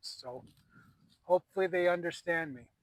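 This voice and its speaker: With an American accent, a man talks at a fairly quick pace, his fairly high pitch showing ordinary variation. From US Midwest. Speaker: paranormal investigator. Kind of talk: on-location investigation vlog, calling out to spirits. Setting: outdoors in a cemetery at night.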